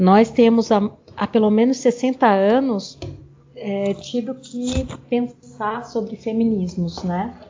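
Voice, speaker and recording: The woman's fairly high voice keeps a fairly even intonation while noticeable noise plays behind it. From Brazil, grew up moving through the North, then Brasília and São Paulo. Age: 50s. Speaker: researcher and author. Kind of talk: interview.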